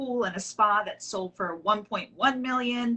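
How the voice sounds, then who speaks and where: A woman with an American accent, an unremarkable speaking voice, fairly even intonation and a fairly slow pace. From Long Island, New York. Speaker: real estate agent. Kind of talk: casual interview.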